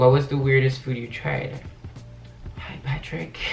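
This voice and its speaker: This man has a medium pitch. There is audible room echo along with noticeable background noise. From France, Paris. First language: French. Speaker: youtuber. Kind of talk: casual Q&A vlog.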